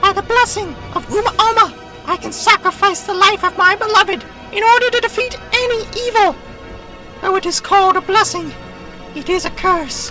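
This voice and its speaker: This is a squeaky, put-on character voice at an extremely high pitch. Music plays clearly in the background. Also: moderate pace. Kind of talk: grand heroic declamation. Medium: audio drama.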